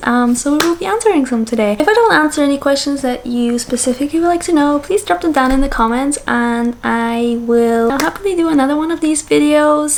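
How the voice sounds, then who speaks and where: This woman talks at a high pitch and a fairly quick pace. Her intonation is lively, and there is noticeable background noise. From Austria. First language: German. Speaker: content creator. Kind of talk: casual Q&A vlog. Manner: hesitant, many fillers.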